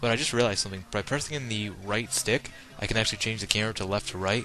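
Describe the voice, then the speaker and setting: With music playing in the background, a man talks at a very fast pace with ordinary pitch variation. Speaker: gaming commentator. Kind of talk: live gameplay commentary. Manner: casual, filler-heavy.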